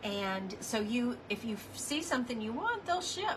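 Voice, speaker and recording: A woman talks fairly slowly while noticeable background noise carries on behind her. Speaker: crafting livestream host. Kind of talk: casual livestream chat. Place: home room. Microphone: phone near.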